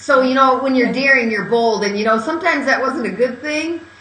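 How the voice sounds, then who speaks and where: Raised and projected, a woman's high-pitched voice carries ordinary pitch variation, with audible room echo and noticeable background noise. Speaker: courage coach and author. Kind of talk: interview. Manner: loud.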